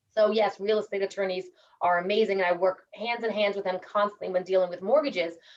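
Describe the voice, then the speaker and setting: In a New York accent, a woman speaks at a very fast pace and a fairly high pitch. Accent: New York American. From New York City, US. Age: 40s. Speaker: mortgage consultant. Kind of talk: networking presentation. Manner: casual.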